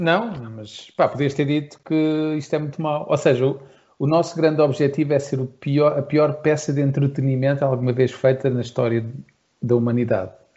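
Somewhat breathy and fairly high in pitch, a man speaks at a moderate pace with ordinary pitch variation. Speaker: podcast co-host and musician. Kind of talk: casual chat.

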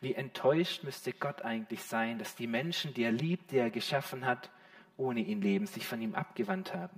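A man speaks at a moderate pace in a high voice, his pitch swinging very widely and his tone warm and animated, over noticeable background noise. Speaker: preacher. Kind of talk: sermon. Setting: church with a live congregation. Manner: warm, animated and direct, addressing the congregation as 'you' with rhetorical questions.

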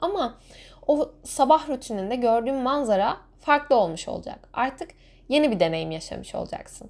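Here is a woman with a high pitch. Her intonation is lively. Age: 20s. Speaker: podcaster. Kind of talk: solo podcast monologue.

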